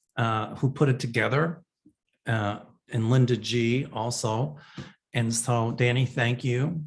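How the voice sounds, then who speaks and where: A man speaks at a very slow pace, leaving long, frequent pauses. His voice is somewhat breathy, with fairly even intonation. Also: medium pitch for a man. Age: 60s. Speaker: psychic medium. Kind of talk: answering viewer questions. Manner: casual, chatty.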